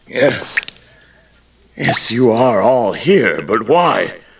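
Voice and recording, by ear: A man's put-on character voice, very slow, fairly bright with a slightly husky edge, vocal fry and big pitch swings. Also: fairly low pitch for a man.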